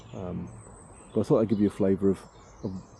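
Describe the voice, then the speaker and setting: The man has a British accent and a very deep, low pitch. His tone is dark and mellow. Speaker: vanlife vlogger, campsite caretaker. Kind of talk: casual vlog narration. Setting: outdoors. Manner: hesitant, many fillers; quiet.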